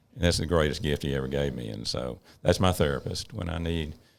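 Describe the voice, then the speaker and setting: At a fairly quick pace, a man speaks with vocal fry. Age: 70s. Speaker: emergency physician and medical director. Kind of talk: casual interview chat.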